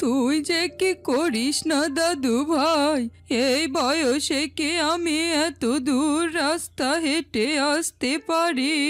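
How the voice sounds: With clear music in the background, a woman uses a cartoonish character voice at a high pitch, talking at a very slow pace with very even loudness and fairly even intonation.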